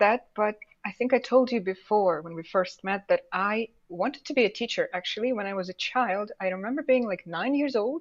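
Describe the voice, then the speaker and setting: This woman's fairly high voice has lively intonation and keeps a moderate pace. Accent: Russian. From Russian Far East. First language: Russian. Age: 20s. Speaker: English teacher. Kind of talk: casual interview.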